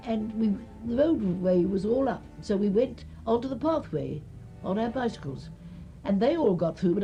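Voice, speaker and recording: A woman with a London accent at a moderate pace, medium-pitched with very wide pitch swings, music in the background. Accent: old-fashioned southern English, London. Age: 80s+. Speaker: early typist and cyclist. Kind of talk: interview answer.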